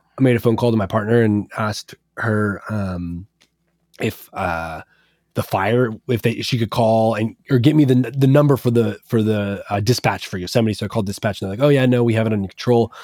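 Dry and close with no echo in a very clean recording with a silent background, a normal speaking voice with an American accent moves at a fairly quick pace with ordinary pitch variation. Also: man, medium pitch for a man. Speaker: electronic music producer. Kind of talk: interview.

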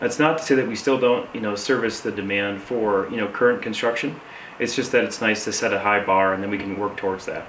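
A man with an Upper Midwest accent talks at a very fast pace with a fairly low pitch and ordinary pitch variation. Audible room echo and noticeable background noise fill the recording. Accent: Upper Midwest American. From Michigan, Saginaw. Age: young. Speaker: construction entrepreneur. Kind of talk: interview. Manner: halting.

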